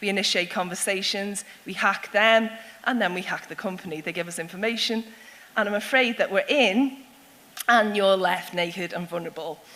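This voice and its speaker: The speaker, in a Liverpool accent, talks at a fairly quick pace with ordinary pitch variation. There is noticeable background noise. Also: woman. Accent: Scouse (Liverpool). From Liverpool, England. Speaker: security consultant and speaker. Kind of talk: public talk. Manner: animated.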